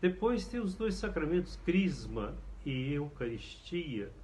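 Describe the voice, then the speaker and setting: A man speaks with lively intonation in a dark, mellow, somewhat breathy voice, and audible room echo surrounds him. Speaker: priest. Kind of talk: catechesis lecture.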